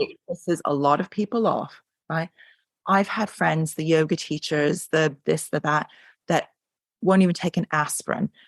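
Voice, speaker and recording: The sound is dry and close with no echo, over a quiet background. A woman with a fairly low pitch talks at a moderate pace with ordinary pitch variation. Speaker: craniosacral therapist. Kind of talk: interview answer. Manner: animated, emphatic.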